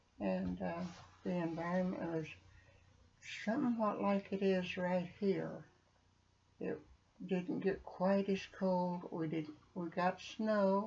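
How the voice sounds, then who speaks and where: A woman's somewhat breathy, dark and mellow voice, fairly low in pitch with ordinary variation, at a very slow pace. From Arkansas. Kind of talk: interview answer.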